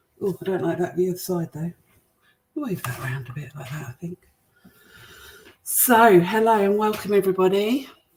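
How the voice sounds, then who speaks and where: Talking at a moderate pace, a woman speaks with a British accent. Her medium pitch carries lively intonation. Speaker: cooking show host. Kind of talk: live cooking demonstration. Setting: livestream to online groups. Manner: hesitant, many fillers; quiet.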